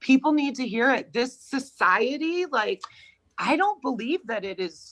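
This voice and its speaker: This woman has an American accent and a high pitch, her voice loud and animated, with very wide pitch swings at a fairly slow pace. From Connecticut, US. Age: 30s. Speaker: podcast guest. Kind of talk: interview conversation.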